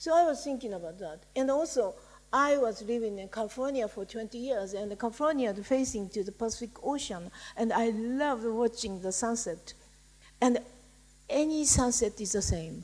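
With a Japanese accent, a woman speaks in a fairly high pitch. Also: moderate pace. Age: 60s. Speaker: writer. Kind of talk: panel discussion.

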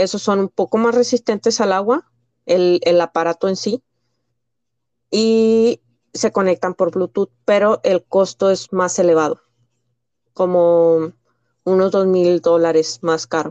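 This woman's voice has a dark, mellow tone and a medium pitch with ordinary pitch variation, moving at a fairly slow pace with long, frequent pauses and very even loudness, in a dry, close sound with no echo. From Mexico, Piedras Negras. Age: 30s. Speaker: special education teacher. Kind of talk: casual interview.

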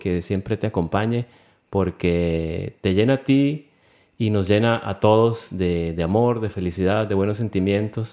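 A man's dark, mellow tone at a fairly low pitch, fairly even in intonation and fairly slow in pace. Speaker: podcast host. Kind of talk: casual podcast narration.

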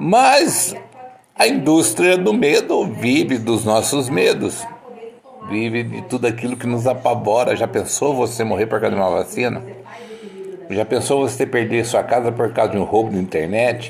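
A man's animated, medium-pitched voice with a Brazilian accent, ordinary pitch variation, a moderate pace and noticeable background noise. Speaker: podcaster. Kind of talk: casual monologue. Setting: at home.

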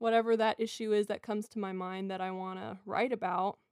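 Recorded very cleanly with a silent background and a dry, close sound with no echo, a woman speaks with a fairly high pitch and fairly even intonation. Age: 20s. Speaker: singer-songwriter and student. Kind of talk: casual chat.

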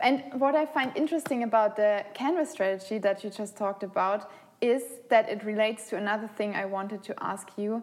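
A woman with a German accent speaks fairly quickly at a fairly high pitch, with ordinary pitch variation. Background noise is noticeable. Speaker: podcast host. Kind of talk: casual chat.

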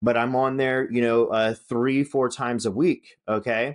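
A man with an American accent talks at a moderate pace and a medium pitch, with fairly even intonation. It is a plain, everyday voice, and the background is quiet. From Northern California. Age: 40s. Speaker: podcast host and real estate investor. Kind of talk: motivational solo talk. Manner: casual, many filler words.

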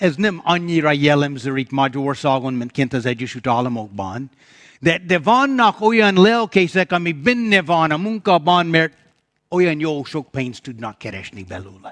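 Speaking at a fairly slow pace with an English accent, a man swings very widely in pitch against a quiet background. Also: fairly high pitch for a man. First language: English (speaking Hungarian). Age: old. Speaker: pastor. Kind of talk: sermon. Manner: halting.

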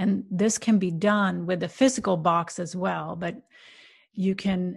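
Against a quiet background, a woman with a somewhat breathy, medium-pitched voice speaks at a fairly slow pace with fairly even intonation. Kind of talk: guided meditation. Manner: slow, soft, calm and soothing with gentle pauses.

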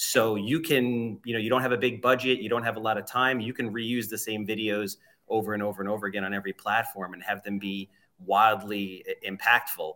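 Talking at a fairly quick pace in a Long Island accent, a man uses a fairly low pitch, a bright, sharp tone and fairly even intonation. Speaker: real estate agent.

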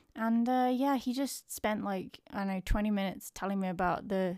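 A woman with an English accent at a moderate pace, ordinary pitch variation, in a very clean recording with a silent background. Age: 30s. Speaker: podcaster. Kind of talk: casual vlog monologue. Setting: home.

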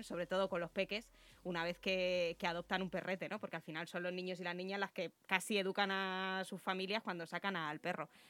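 A woman's medium-pitched voice, monotone and flat, at a fairly quick pace in a very clean recording with a silent background. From Rivas, Madrid region, Spain. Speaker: local politician. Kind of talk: interview.

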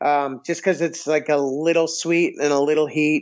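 Speaking in an American accent, a man has an ordinary speaking voice with a fairly high pitch. He keeps a moderate pace and fairly even intonation. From Massachusetts, near Boston. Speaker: restaurant owner and podcaster. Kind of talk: casual chat.

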